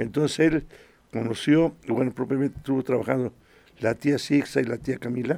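With vocal fry in his medium-pitched voice, a man talks at a moderate pace with ordinary pitch variation. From Mexico, Puebla (Acatlán). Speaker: choir director. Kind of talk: radio interview. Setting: radio studio.

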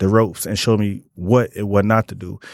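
A man talks at a fairly quick pace with a fairly low pitch and a normal speaking voice. The recording is very clean, with a silent background. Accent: American. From Detroit area. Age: 30s. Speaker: chef. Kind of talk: casual chat.

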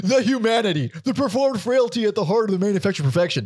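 A put-on character voice races at a very fast pace over noticeable background noise. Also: man, high pitch for a man. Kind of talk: announcer-like, theatrical.

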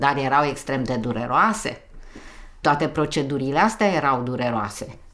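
Audible room echo fills the space as a woman speaks at a moderate pace. Her pitch is very deep and low, with lively intonation. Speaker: interviewee. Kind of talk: casual chat.

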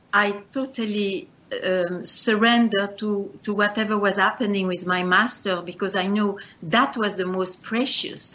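A woman talks very slowly in a bright, sharp tone with fairly even intonation. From Belgium. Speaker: spiritual teacher. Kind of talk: interview. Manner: halting.

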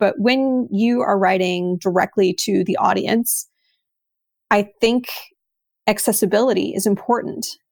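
Speaking with a Texas accent, a woman has a medium pitch and fairly even intonation. She talks at a fairly slow pace. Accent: American (Texas). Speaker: writer, artist and publisher. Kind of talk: interview conversation.

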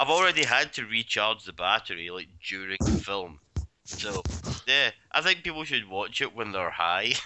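Lively in intonation, a man with a fairly low pitch and a Glaswegian accent speaks at a moderate pace. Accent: Glaswegian Scottish. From Scotland, Glasgow. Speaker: movie commentary podcast guest. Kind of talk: casual group movie commentary. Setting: Skype call.

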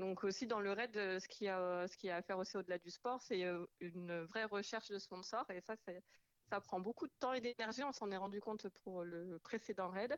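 Using an ordinary speaking voice, the woman proceeds at a middling rate. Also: medium pitch for a woman, ordinary pitch variation. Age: 30s. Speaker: amateur raid participant. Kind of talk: radio interview. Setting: phone call. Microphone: echo on phone line.

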